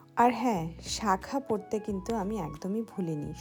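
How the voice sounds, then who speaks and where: A woman talks with a fairly high pitch and ordinary pitch variation. Music plays in the background. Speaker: teacher. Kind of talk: vlog voiceover.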